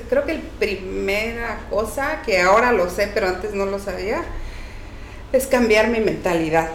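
A woman of medium pitch talks at a very slow pace, with audible room echo and noticeable background noise. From Mexico, Oaxaca. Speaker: cleaning business owner. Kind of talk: casual interview chat.

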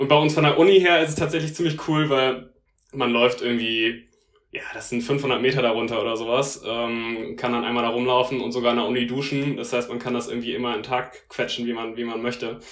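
A man speaks at a fairly quick pace with fairly even intonation. Room echo is audible. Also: medium pitch for a man. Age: 20s. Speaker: law student. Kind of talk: casual interview. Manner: hesitant, many fillers.

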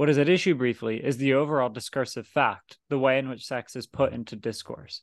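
Against a quiet background, a man with an ordinary speaking voice talks at a fairly quick pace and medium pitch, with ordinary pitch variation and a dry, close sound with no echo. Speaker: podcast host. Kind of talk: casual discussion of a philosophy book.

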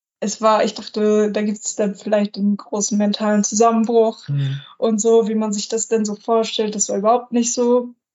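A woman talks at a moderate pace with hardly any pauses, in a fairly high pitch and fairly even intonation. Hers is an unremarkable speaking voice. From northern Germany, near Lüneburg (Lower Saxony). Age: 20s. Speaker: long-distance bicycle traveller. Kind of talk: podcast interview.

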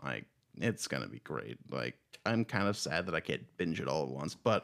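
At a fairly quick pace, a man speaks with vocal fry. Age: 20s. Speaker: podcast co-host. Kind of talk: casual chat.

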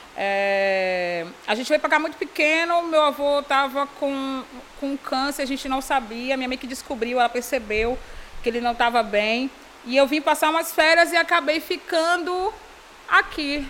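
Against noticeable background noise, a woman with a high pitch talks at a fairly slow pace in an animated tone with lively intonation. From Bahia, Brazil (Salvador area). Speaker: entrepreneur, fashion brand founder. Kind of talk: casual interview chat. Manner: animated, frequent laughter.

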